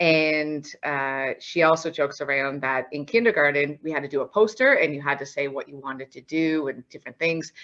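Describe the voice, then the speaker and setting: A woman with a Newfoundland accent speaks at a fairly quick pace in a very deep, low voice, with hardly any pauses, ordinary pitch variation and big swings in loudness. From Newfoundland, Canada (St. John's). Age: 30s. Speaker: accountant and auditor. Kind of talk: presentation to students.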